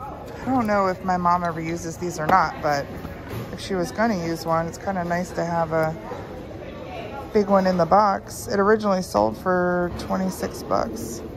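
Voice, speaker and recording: A woman with a fairly low pitch and ordinary pitch variation, at a moderate pace with long, frequent pauses, music in the background. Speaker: thrift reseller vlogger. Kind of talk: casual vlog chat. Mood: cheerful, laughing. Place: shop. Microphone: phone near.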